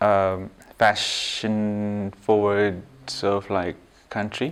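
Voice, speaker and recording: A man's fairly low voice at a very slow pace, monotone and flat in intonation. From Zimbabwe. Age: 30s. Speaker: fashion entrepreneur. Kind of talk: interview. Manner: hesitant, many fillers.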